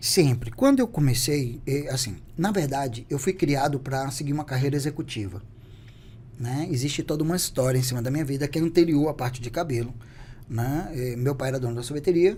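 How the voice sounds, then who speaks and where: This man has a fairly high, somewhat breathy voice with a dark, mellow tone. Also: ordinary pitch variation. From Bahia, Brazil (Salvador). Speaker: beauty entrepreneur. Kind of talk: podcast interview.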